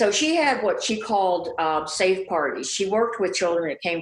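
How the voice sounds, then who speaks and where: Heard over noticeable background noise, the speaker uses an American accent, a moderate pace and ordinary pitch variation. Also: woman. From US Midwest. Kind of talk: interview. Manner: blissful, elevated tone.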